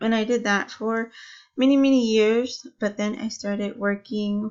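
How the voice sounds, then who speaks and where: A woman speaks fairly slowly in a fairly high voice. Her intonation stays fairly even. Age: 30s. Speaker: student. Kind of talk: personal introduction monologue. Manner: hesitant, many fillers.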